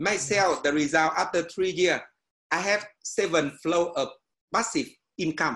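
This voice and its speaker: Speaking in a Vietnamese accent, a man with a high pitch and a bright, sharp tone goes at a fairly slow pace with long, frequent pauses. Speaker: meditation teacher and education businessman. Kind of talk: casual panel discussion. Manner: halting, hesitant phrasing.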